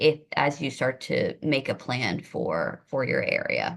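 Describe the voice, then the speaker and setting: Over a quiet background, a woman speaks with fairly even intonation. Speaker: government affairs manager for a school administrators association. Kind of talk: webinar presentation. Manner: fast.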